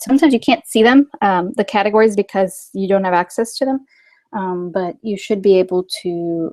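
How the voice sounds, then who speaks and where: A woman speaks in a normal speaking voice at a medium pitch, with ordinary pitch variation and a moderate pace. The sound is dry and close, with no echo. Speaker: software trainer. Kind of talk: tutorial. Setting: webinar.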